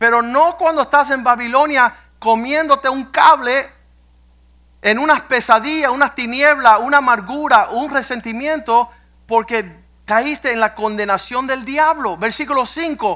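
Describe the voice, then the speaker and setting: Extremely high in pitch for a man, this raised, projected voice has a bright, sharp tone, ordinary pitch variation and a fairly slow pace, in a very clean recording with a silent background. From US, Cuban-American family. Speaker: pastor. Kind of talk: sermon. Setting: church.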